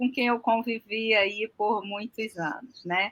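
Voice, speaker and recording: Very slowly, a woman speaks at a fairly high pitch with a bright, sharp tone. The recording is very clean, with a silent background. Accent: strong Rio de Janeiro. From Rio de Janeiro, Brazil. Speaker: aquaculture farmer and designer. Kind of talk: podcast interview.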